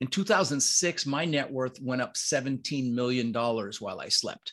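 An unremarkable speaking voice from a man, fairly high in pitch, at a moderate pace over a quiet background. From Netherlands, raised in Denver US. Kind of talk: casual interview chat.

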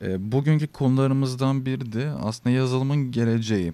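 A dark, mellow tone at a moderate pace. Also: man. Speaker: student podcast host. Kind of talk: casual interview.

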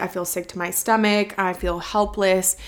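Speaking at a fairly slow pace, a woman with a medium pitch and a plain, everyday voice keeps her intonation fairly even. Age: 20s. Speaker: podcast host. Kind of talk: personal monologue about cancer diagnosis. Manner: casual, emotional storytelling.

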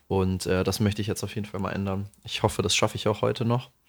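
Very fast delivery with monotone, flat intonation. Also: man. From Lower Franconia, Bavaria (Aschaffenburg area). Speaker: podcast co-host. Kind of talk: casual chat.

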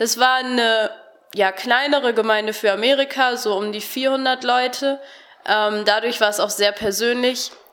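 A normal speaking voice from a woman, fairly high in pitch, at a fairly slow pace. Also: fairly even intonation. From Germany (Harsewinkel, Gütersloh district). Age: 20s. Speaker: Bible school student. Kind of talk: radio interview.

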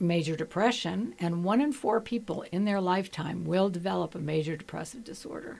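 In a plain, everyday voice, a woman talks at a medium pitch with lively intonation. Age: 60s. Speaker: retired psychiatrist. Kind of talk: radio interview. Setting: radio studio.

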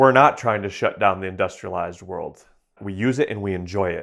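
With an American accent, a man speaks in an unremarkable speaking voice, fairly low in pitch with ordinary pitch variation, against a quiet background. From southeastern Michigan. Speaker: wildlife sound recordist and researcher. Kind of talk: interview.

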